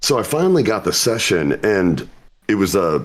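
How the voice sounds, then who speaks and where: A man speaks with a fairly low pitch and vocal fry. His pitch swings very widely. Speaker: voice actor. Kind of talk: interview. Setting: live stream interview. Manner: casual.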